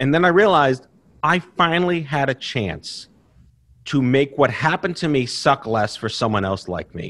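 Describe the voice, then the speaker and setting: On a very clean recording with a silent background, a man's voice swings very widely in pitch. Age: 40s. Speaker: cancer survivor and patient advocate. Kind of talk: interview. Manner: high energy; fast.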